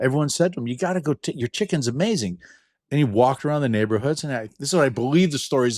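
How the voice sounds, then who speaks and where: Delivered at a very fast pace, the speech has lively intonation and an animated tone, with a dry, close sound and no echo. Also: man. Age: 60s. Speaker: inventor and entrepreneur. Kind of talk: casual interview chat. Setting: video call.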